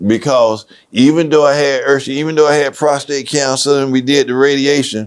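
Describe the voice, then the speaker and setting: This man has an ordinary speaking voice, medium in pitch, and talks at a moderate pace. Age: 60s. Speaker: podcast host, prostate cancer survivor. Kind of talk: casual chat.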